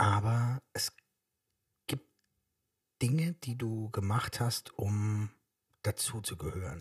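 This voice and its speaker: A man speaks at medium pitch and a very slow pace, somewhat breathy, with ordinary pitch variation. Long, frequent pauses break up his speech, and the sound is dry and close with no echo. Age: 40s. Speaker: podcast co-host, father. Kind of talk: casual chat.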